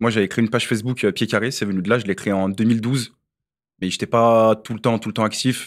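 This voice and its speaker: Against a quiet background, a man speaks in an ordinary speaking voice, fairly low in pitch, at a fairly quick pace with fairly even intonation. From Lyon, France; France. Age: 30s. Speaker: football coach and content creator; podcast guest. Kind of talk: casual chat. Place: studio. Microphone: studio mic.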